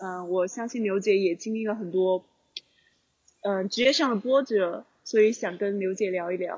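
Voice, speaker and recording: A plain, everyday voice speaks here. Its pace is moderate and its pitch variation ordinary. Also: woman. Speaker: podcast co-host. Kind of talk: casual chat. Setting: outside mahjong parlor on phone. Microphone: phone and earphones.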